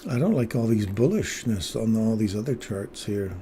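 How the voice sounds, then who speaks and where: Somewhat breathy and dark, mellow in tone, a man speaks at a fairly low pitch with fairly even intonation. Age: 60s. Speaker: day trader streaming live trades. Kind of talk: live trading commentary with chat.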